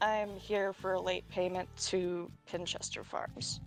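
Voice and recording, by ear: With clear music in the background, someone delivers a put-on character voice at a fairly slow pace. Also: female-sounding voice.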